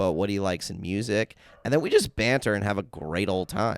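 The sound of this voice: A man's raspy put-on character voice, fairly low and fairly quick, with ordinary pitch variation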